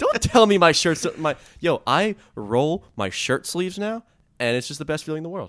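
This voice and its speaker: The speaker keeps a moderate pace while the pitch moves in very wide swings. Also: man, high pitch for a man. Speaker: podcast host. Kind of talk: casual chat. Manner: joking.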